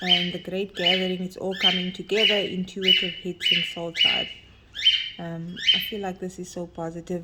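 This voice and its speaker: Soft-spoken and monotone, a woman talks at a medium pitch with flat intonation. Noticeable background noise is present. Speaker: tarot card reader. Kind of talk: oracle card reading.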